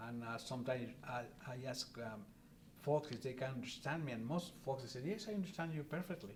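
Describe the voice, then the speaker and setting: Amid noticeable background noise, a man with a strong Spanish accent talks fairly quickly with lively intonation. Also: medium pitch for a man. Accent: heavy Spanish. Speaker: interviewee, father. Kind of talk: family interview. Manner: halting.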